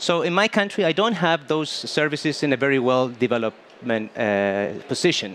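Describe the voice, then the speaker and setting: With a Spanish accent, a man talks at a moderate pace in a fairly high voice. His pitch swings very widely while his loudness stays very even. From Chile. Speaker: dentist. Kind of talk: panel interview. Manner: halting.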